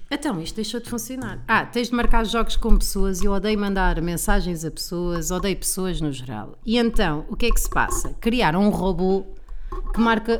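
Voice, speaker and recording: Through audible room echo and noticeable background noise, a woman with a medium pitch and an animated tone speaks at a moderate pace, with lively intonation and big swings in loudness. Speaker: comedian. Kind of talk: casual chat.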